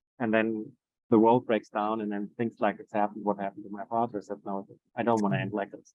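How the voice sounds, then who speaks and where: A man with a German accent speaks at a very fast pace and a fairly low pitch, keeping his intonation fairly even while his loudness swings widely. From Germany. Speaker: Montessori educator. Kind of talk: interview conversation. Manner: halting.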